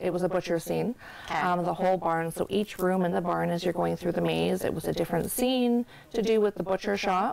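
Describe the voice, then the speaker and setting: A woman speaks at a fairly quick pace with a fairly low pitch. Her intonation is fairly even and her loudness very even. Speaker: haunted attraction organizer. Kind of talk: interview. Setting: studio. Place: studio. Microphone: lapel.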